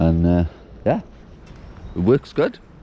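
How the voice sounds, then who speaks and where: This man's voice sits at a very deep, low pitch. Noticeable background noise runs behind him. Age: young. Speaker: allotment gardener vlogger. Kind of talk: casual vlog monologue. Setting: outdoors.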